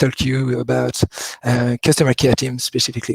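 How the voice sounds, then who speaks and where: Somewhat breathy speech in a French accent comes at a moderate pace, recorded dry and close with no echo. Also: man. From France. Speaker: customer care executive. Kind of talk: webinar talk.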